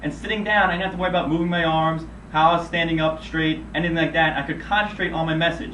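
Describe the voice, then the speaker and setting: Speaking very fast in a room with audible echo, a man uses a high pitch and fairly even intonation. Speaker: medical sales rep. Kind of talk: self-critique video monologue. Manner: monotone.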